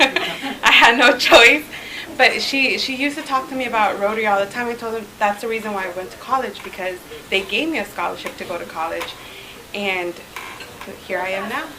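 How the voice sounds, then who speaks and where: Over noticeable background noise and audible room echo, a woman with a fairly high pitch talks at a fairly quick pace, her intonation lively and her loudness swinging widely. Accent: American. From Southern California, raised from early childhood after moving from Mexico. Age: 20s. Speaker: guest speaker, club president-elect. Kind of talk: informal talk to a club meeting. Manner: hesitant, many fillers.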